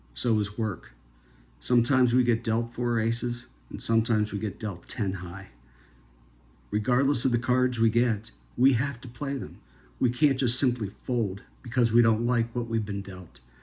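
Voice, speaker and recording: At a moderate pace, a man talks in a somewhat breathy voice with fairly even intonation. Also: medium pitch for a man. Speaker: healthcare professional. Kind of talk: motivational talk.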